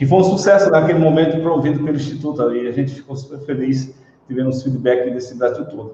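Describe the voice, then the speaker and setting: Very fast speech in a Pernambuco accent, with ordinary pitch variation and big swings in loudness. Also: man, fairly high pitch for a man. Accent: Pernambuco (northeastern Brazilian). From Pernambuco, Brazil (Surubim, interior). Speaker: school director and educator. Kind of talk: interview on live stream.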